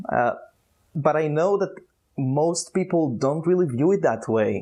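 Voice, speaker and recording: A man with an Israeli accent and a fairly high pitch talks at a moderate pace with ordinary pitch variation. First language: Hebrew. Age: 20s. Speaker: youtuber. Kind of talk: vlog monologue. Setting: outdoors. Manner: halting.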